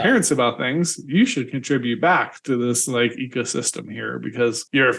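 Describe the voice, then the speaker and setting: The voice has vocal fry and moves at a moderate pace. The background is quiet. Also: man. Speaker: podcast host. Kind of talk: casual interview conversation.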